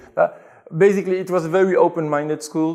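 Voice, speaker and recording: Here is a man speaking. He talks with a Belgian French accent. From Belgium, Brussels. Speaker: convert to Islam telling his story. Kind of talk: interview. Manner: hesitant, with fillers.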